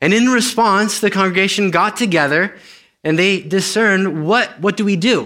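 A man speaks in a raised, projected voice with a high pitch and a bright, sharp tone. His pitch varies in an ordinary way, and the recording is very clean with a silent background. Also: moderate pace. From Romania. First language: Romanian. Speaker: guest preacher. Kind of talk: sermon. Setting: church service with congregation. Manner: halting, many fillers and repeats.

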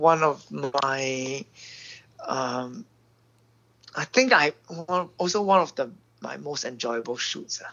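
Long, frequent pauses break up the very slow delivery. The speaker has a Singaporean accent. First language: Mandarin Chinese. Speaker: film director. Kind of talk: interview. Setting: phone call.

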